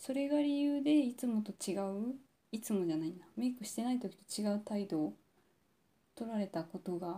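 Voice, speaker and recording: With lively intonation, a somewhat breathy woman speaks in a dark, mellow tone at a fairly high pitch. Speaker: podcast host. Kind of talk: personal monologue. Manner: deliberately low-energy, subdued delivery; halting, many pauses and fillers.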